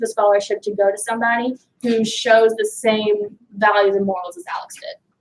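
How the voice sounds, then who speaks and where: A plain, everyday voice, a woman's, fairly high in pitch, with fairly even intonation at a moderate pace. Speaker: student chapter member. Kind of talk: club meeting talk.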